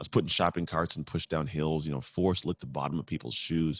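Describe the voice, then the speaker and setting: A man with a very deep, low pitch and vocal fry, very fast, over a quiet background. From United States. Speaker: motivational speaker telling life story. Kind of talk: interview, personal testimony. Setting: video call.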